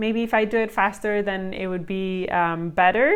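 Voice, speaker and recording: A woman speaks at medium pitch with a non-native accent. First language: not English. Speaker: homeschooling mom and video creator. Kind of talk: casual vlog review. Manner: hesitant, many fillers.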